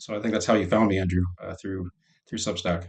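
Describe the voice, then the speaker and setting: At a fairly quick pace, a man speaks in an American accent. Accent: sounds American. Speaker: scientist and technologist. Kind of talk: podcast interview. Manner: hesitant, many fillers.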